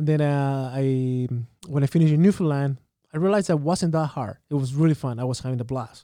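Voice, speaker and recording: A man with a Chilean accent, fairly high pitch, dark, mellow tone, ordinary pitch variation and fairly quick pace, in a very clean recording with a silent background. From Santiago, Chile. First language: Spanish. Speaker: tourism storyteller and artist. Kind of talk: casual interview.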